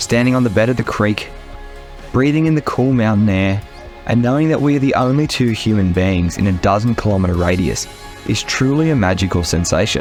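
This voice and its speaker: Speaking at a fairly quick pace in an Australian accent, the voice has lively intonation and very even loudness over music in the background. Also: man, fairly low pitch for a man. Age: 20s. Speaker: hiker, outdoor adventurer. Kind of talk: documentary-style travel narration.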